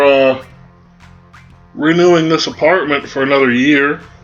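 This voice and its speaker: Music plays in the background as a man speaks at a fairly high pitch. His intonation stays fairly even. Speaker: let's play gamer. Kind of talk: gameplay commentary. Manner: casual.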